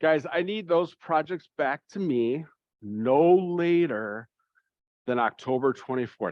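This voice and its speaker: A man with an ordinary speaking voice talks at a fairly high pitch. His pace is fairly slow and his intonation lively. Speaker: church youth confirmation leader. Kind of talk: parent information meeting.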